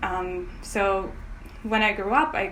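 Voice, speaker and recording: There is audible room echo around a woman speaking with a Russian accent. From Crimea. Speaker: painter. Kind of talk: interview. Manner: hesitant, many fillers.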